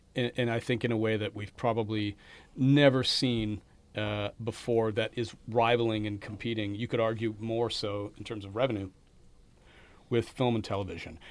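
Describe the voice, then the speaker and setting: The man speaks at medium pitch with monotone, flat intonation. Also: moderate pace. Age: 40s. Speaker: podcast host at a film school. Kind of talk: interview conversation. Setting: studio.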